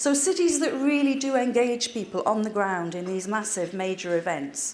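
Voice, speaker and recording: In a North East English accent, a woman speaks at a moderate pace with lively intonation. There is noticeable background noise. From North East England (former mining village). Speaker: cultural sector adviser. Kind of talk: public talk.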